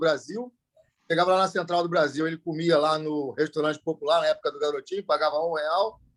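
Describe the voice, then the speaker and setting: A man speaks at a fairly high pitch with ordinary pitch variation, the sound dry and close with no echo. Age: 50s. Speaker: Rotary club member. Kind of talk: speech at club meeting.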